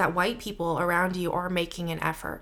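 A woman's medium-pitched voice with vocal fry and a General American accent. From Seattle, US. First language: Mandarin Chinese. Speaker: guest, works in theater. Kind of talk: casual interview chat.

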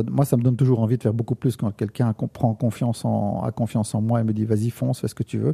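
At a very fast pace with hardly any pauses, a man speaks in a somewhat breathy, dark, mellow voice of medium pitch, the sound dry and close with no echo. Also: very clean recording, silent background. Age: 50s. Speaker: photographer. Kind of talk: interview. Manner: halting.

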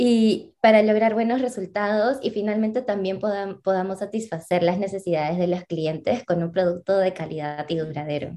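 In a dark, mellow tone, a woman speaks at a moderate pace with ordinary pitch variation. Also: medium pitch for a woman. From Peru. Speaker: social entrepreneur, co-founder. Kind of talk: interview.

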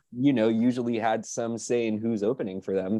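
A man speaks with a medium pitch and a dark, mellow tone. The background is quiet. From Quebec, Canada. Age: late 20s. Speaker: rock musician. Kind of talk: casual interview chat.

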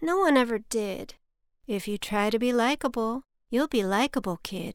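Playful and animated, a woman speaks in a high pitch with lively intonation. The recording is very clean, with a silent background. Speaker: podcast host and poet. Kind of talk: rhythmic spoken-word poem reading, children's story. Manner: sing-song, rhyming cadence, playful; animated, voicing characters, changing pitch and volume.

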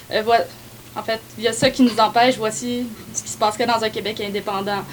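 Against noticeable background noise, a woman talks at a fairly quick pace in a fairly high pitch. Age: 20s. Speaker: student and youth party activist. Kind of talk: casual panel discussion.

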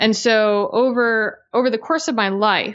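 At a fairly slow pace, a woman talks in a normal speaking voice with fairly even intonation. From US, Italian-American heritage. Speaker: author and podcaster on Italian folk spirituality. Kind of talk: casual interview chat.

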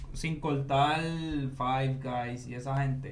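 Audible room echo carries a man's fairly high voice. He talks at a very slow pace with fairly even intonation. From Puerto Rico, Coamo. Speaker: podcast host. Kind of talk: casual chat.

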